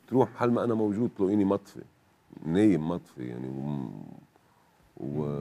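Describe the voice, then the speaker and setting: A man's very deep, low voice at a moderate pace, with very wide pitch swings and long, frequent pauses. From northern Lebanon. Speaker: TV guest. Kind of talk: testimony. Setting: studio. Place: studio. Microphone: lapel.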